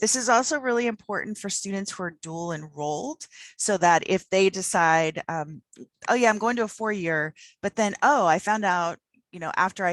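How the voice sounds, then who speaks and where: Intonation here is lively. The sound is dry and close with no echo, over a quiet background. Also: woman. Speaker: presenter on student financial aid. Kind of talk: conference presentation. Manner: fast.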